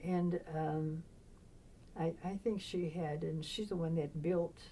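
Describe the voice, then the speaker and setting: A woman with a dark, mellow tone speaks at a fairly slow pace in a fairly low pitch, her intonation fairly even. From Maine, Biddeford, Franco-American family. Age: 90s. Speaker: retired nun and social worker. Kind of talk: oral history interview. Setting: convent. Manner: halting.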